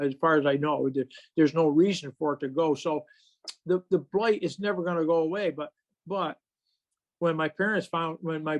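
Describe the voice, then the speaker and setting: Heard in a dry, close sound with no echo, a man with an American accent speaks in a high voice with ordinary pitch variation. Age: 70s. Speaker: chestnut conservation speaker. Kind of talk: presentation talk. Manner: halting, many fillers and repeats.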